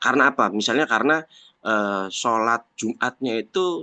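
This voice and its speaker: In a Javanese accent, a man with a bright, sharp tone speaks at a moderate pace in a dry, close sound with no echo. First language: Javanese (speaking Indonesian). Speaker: Islamic religious teacher. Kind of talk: religious text lecture. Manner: halting, with self-corrections.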